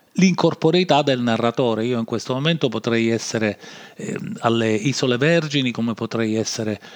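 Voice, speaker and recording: Ordinary pitch variation and a moderate pace from a man at a medium pitch. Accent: Sicilian. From Sicily. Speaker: podcast host. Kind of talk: improvised monologue. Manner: hesitant, many fillers.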